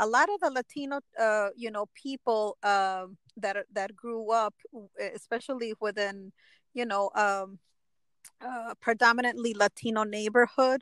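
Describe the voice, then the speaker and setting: In a Chicago accent, a woman speaks at a fairly slow pace and fairly high pitch with fairly even intonation and long, frequent pauses, the sound dry and close with no echo on a very clean recording with a silent background. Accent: Chicago American English. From Chicago, Little Village/Pilsen area, Mexican American. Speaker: motivational speaker and women's empowerment founder. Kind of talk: interview testimony. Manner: halting, many fillers.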